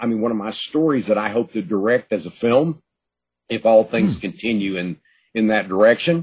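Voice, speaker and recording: At a moderate pace, a man speaks in an East Texas accent with ordinary pitch variation. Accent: East Texas Southern US. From East Texas, Gladewater. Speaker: author. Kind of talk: interview.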